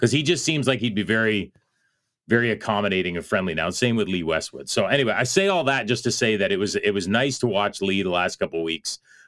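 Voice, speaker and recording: In a Canadian accent, the speaker talks very fast with lively intonation on a very clean recording with a silent background. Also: man, fairly low pitch for a man. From Canada. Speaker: golf radio host. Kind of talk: casual radio talk show monologue. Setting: studio.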